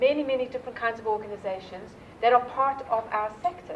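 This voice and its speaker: A woman speaks with a South African accent at a fairly high pitch. Her pace is fairly quick over noticeable background noise. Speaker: nonprofit leader. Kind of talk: keynote talk. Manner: animated.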